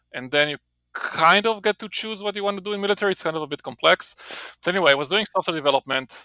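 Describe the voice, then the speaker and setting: Raised and projected, a man's voice with an Israeli accent comes in a bright, sharp tone at a high pitch and very fast pace, with a dry, close sound and no echo. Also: ordinary pitch variation. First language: Hebrew. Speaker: marketing professor. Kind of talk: podcast interview. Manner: casual, with many fillers and repetitions.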